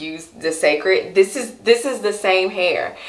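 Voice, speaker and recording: The voice belongs to a woman. There is audible room echo in the recording. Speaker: hair vlogger. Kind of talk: casual vlog chat. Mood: playful, animated. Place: home room.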